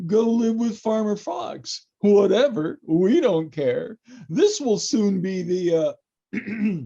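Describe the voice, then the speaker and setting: A put-on character voice, fairly high in pitch, drawls along at a very slow pace. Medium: audio drama. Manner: giggly, stammering.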